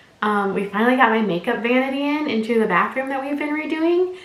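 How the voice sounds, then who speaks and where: Through noticeable background noise and audible room echo, a woman with a high pitch speaks at a fairly quick pace. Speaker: lifestyle youtuber. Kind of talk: casual unboxing vlog. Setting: at home, upstairs room.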